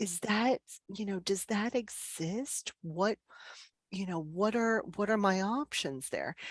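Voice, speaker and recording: A woman's lively, fairly slow delivery in an American accent, with a dry, close sound and no echo. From central New Jersey, Middlesex County. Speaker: speaking coach. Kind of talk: online group presentation with discussion. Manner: conversational, with frequent fillers.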